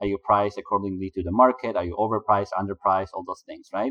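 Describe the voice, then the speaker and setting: A man with a Polish accent speaks with fairly even intonation. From Poland. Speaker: business consultant for agency owners. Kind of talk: interview.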